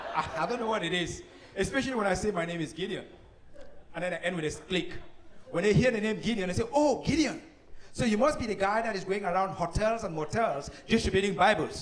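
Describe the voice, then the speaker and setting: Spoken at a very fast pace with lively intonation and an animated tone, this voice has a Cameroonian accent, with noticeable background noise and audible room echo. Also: man, high pitch for a man. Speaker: comedian. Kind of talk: stand-up. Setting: stage with audience.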